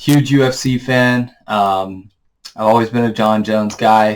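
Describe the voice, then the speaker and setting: A man with an American accent speaks in a fairly low pitch with monotone, flat intonation. The recording is very clean, with a silent background. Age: 20s. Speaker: sports channel host, aspiring analyst. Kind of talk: casual vlog monologue. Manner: casual, filler-heavy.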